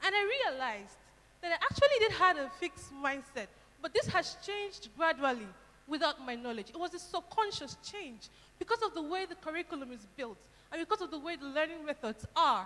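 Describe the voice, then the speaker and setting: Her raised, projected voice sits at an extremely high pitch for a woman, with very wide pitch swings and a fairly quick pace. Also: big swings in loudness. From Nigeria. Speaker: university student speaker. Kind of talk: speech to audience.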